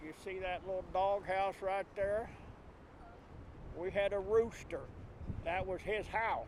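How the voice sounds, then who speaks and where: With a US Plains accent, a man speaks at a high pitch in a monotone, flat intonation. His pace is fairly slow, broken by long, frequent pauses. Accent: rural US Plains. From southwest Kansas. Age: 70s. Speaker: farmer. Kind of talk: interview. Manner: halting.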